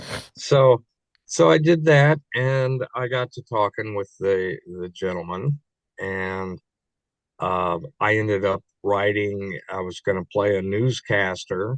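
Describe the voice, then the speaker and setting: A man with a Midwestern US accent talks at a very slow pace, with ordinary pitch variation and a dry, close sound with no echo. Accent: US Midwest. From Kansas City, Missouri. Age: 60s. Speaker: actor. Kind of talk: interview. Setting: podcast. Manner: halting.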